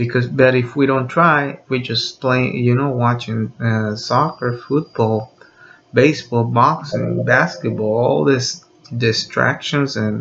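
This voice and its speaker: With noticeable background noise behind him, a man talks at a very slow pace with ordinary pitch variation. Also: medium pitch for a man. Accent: Spanish. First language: Spanish. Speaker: video blogger. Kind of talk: unscripted monologue. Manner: halting, many fillers.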